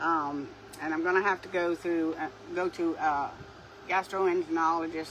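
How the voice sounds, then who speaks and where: Over noticeable background noise, a woman with an American accent talks in a very deep, low pitch with fairly even intonation. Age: 60s. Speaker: craft video creator. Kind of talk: casual chat.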